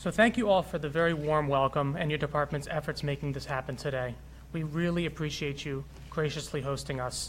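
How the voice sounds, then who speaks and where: The speech is fairly quick and somewhat breathy, with fairly even intonation. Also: man, fairly high pitch for a man. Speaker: physician, health executive. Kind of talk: prepared speech. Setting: city hall with audience.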